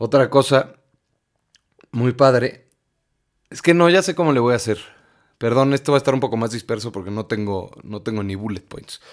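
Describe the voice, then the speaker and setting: With a Mexican accent, a man speaks at a medium pitch in an animated tone. His loudness swings a lot, and he leaves long, frequent pauses. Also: ordinary pitch variation, moderate pace, very clean recording, silent background. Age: 20s. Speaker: podcast host. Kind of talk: personal monologue.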